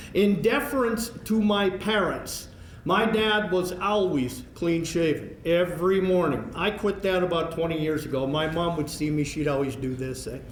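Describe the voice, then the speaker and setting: With a Canadian Prairies accent, a man speaks at a moderate pace with a high pitch, lively intonation and hardly any pauses. Noticeable background noise and audible room echo fill the recording. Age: 60s. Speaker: hockey play-by-play broadcaster, hall of fame inductee. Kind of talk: acceptance speech.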